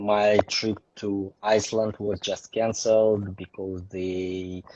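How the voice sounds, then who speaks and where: Very slow speech in a strong Russian accent, with monotone, flat intonation. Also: man, fairly low pitch for a man. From Russia, Saint Petersburg. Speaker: photographer. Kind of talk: interview. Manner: halting.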